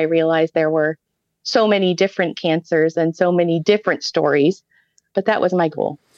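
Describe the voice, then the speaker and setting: A woman with an American accent speaks at a fairly low pitch with fairly even intonation. The sound is dry and close with no echo, and the background is quiet. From Ohio, US Midwest. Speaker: pediatric hematologist-oncologist and researcher. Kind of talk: interview.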